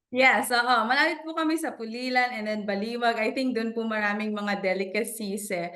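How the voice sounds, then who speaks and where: A woman speaks fairly quickly at a fairly high pitch, with hardly any pauses and ordinary pitch variation. Noticeable background noise runs underneath. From Philippines (Bulacan). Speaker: financial professional. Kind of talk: interview in Taglish. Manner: casual, code-switching.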